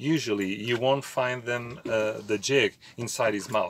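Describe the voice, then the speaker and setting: A man speaks at a medium pitch against noticeable background noise. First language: Portuguese. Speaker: fishing YouTuber. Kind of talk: tutorial. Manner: halting, many fillers.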